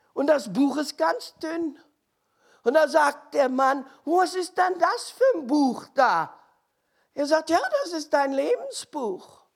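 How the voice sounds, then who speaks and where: A woman's high-pitched voice with lively intonation, at a very slow pace with long, frequent pauses. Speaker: preacher. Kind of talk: sermon.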